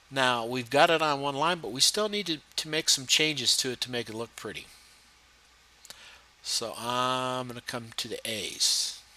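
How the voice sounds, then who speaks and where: A man talks with normal variation in pitch while noticeable noise runs underneath. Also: medium pitch for a man. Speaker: instructor. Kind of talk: tutorial. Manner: fast.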